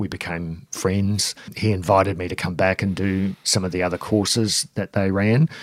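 On a very clean recording with a silent background, a man with a very deep, low pitch talks at a moderate pace in a monotone, flat way. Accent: New Zealand. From New Zealand. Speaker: gym owner and security trainer. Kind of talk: interview. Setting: studio.

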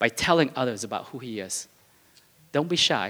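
The recording is very clean, with a silent background. A man with a non-native accent speaks in a fairly high, bright, sharp voice with lively intonation. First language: not English. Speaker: pastor. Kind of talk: sermon. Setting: church. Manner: halting, with fillers and repetitions.

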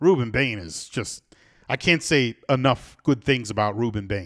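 A man's plain, everyday voice in an American accent, medium pitch, moderate pace and lively intonation, with a dry, close sound with no echo on a very clean recording with a silent background. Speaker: radio host. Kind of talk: radio talk show, casual chat. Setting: studio.

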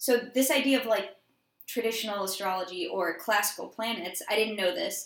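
This woman has an unremarkable speaking voice, fairly high in pitch, with an American accent, ordinary pitch variation and a moderate pace. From Georgia, US. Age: 20s. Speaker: podcast co-host. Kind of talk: casual chat.

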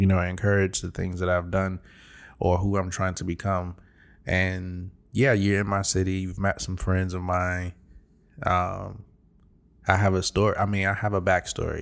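Delivered at a moderate pace with an American accent, the monotone, flat speech has long, frequent pauses over a very clean recording with a silent background. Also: man, very deep, low pitch for a man. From Chicago. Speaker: podcast co-host. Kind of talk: casual chat. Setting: rented apartment at night.

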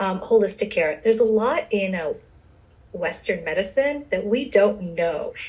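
Against noticeable background noise, a woman with an American accent speaks at medium pitch with lively intonation. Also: moderate pace. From Brooklyn, New York. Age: 30s. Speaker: gynecologist. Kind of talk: interview.

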